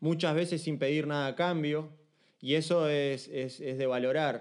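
A man with a Uruguayan accent, fairly high-pitched, at a moderate pace, fairly even intonation, quiet background. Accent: Rioplatense Spanish (Uruguayan). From Uruguay, Montevideo. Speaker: street dancer and dance teacher. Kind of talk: casual chat.

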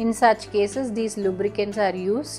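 Faint music sits in the background as a woman speaks at a moderate pace. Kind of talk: explainer to camera. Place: office. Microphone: lapel.

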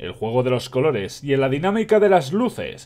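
With a Spanish accent, the speaker keeps a moderate pace while the pitch swings very widely. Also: man. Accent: Peninsular Spanish. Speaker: video game youtuber reading a book aloud. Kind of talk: reading aloud with casual commentary. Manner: halting, stumbles and self-corrects.

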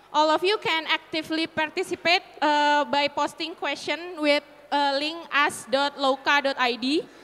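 A woman with an Indonesian accent speaks fairly slowly in a high pitch, her tone bright and sharp, her loudness very even and her intonation fairly even. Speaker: panel moderator. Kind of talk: panel moderation. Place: hall. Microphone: handheld.

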